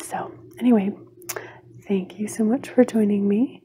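A woman's voice at a fairly slow pace, with ordinary pitch variation and light background noise. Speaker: video creator. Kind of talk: casual vlog chat. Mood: warm, friendly. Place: home room. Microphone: phone near.

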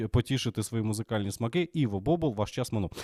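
Recorded dry and close with no echo, a man talks at a medium pitch with lively intonation. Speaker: political podcast host, TV presenter. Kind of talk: live stream commentary. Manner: casual, relaxed.

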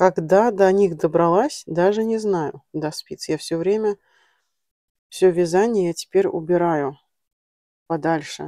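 Dry and close with no echo, the recording carries a woman's fairly low voice with a dark, mellow tone. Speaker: knitting vlogger. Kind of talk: casual vlog tutorial. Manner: chatty.

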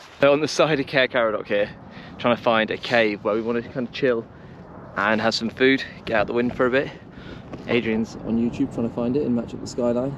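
A man speaks at a fairly quick pace with fairly even intonation. The sound is dry with no echo, over light background noise. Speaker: hiking vlogger. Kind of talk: casual vlog chat. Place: open country. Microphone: phone near.

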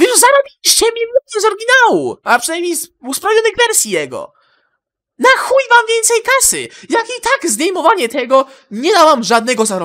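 A furious man's raised, projected voice at an extremely high pitch, bright and sharp, with very wide pitch swings and a moderate pace. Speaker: gaming YouTuber. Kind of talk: angry profanity-laden rant to camera. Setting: home recording, solo video. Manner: furious, swearing constantly, venting, stumbling over words.

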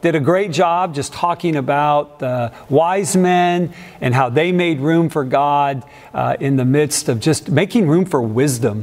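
Ordinary pitch variation marks this man's speech. His pace is fairly slow. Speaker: pastor. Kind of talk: sermon. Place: church. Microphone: lapel.

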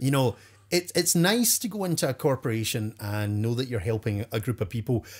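With a Scottish accent, a man at medium pitch talks at a fairly quick pace, somewhat breathy and with lively intonation, on a very clean recording with a silent background. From Scotland. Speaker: professional storyteller. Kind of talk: interview answer.

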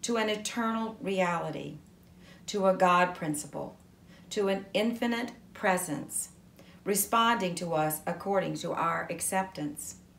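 In a room with audible echo, a woman speaks at a fairly slow pace with ordinary pitch variation. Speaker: reader of spiritual text. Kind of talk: devotional reading. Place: home room.

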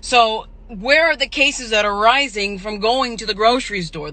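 In a dry recording with no echo, a woman speaks at a moderate pace with a bright, sharp tone. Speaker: social media streamer. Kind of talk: ranting vlog monologue. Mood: indignant, mocking rant. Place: car. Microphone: phone near.

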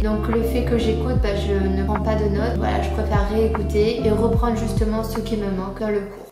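Speech at a moderate pace plays over loud background music, with audible room echo. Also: woman. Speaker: university student. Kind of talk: casual vlog talk to camera. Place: home room.

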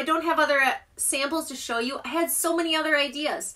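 A woman's raised, projected voice with a bright, sharp tone comes at a moderate pace against a quiet background. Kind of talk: casual live stream product chat. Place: home room. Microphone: phone near.

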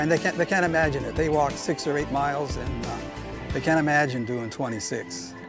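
Over clear background music, a man talks at a fairly quick pace in a dry sound with no echo. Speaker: walking companion of a marathon runner. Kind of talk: interview answer. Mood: warm, admiring. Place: garden. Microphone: lapel.

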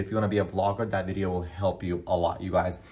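The man's voice is somewhat breathy. He is the one speaking here. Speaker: vlogger. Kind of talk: casual vlog chat. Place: home room. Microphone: phone near.

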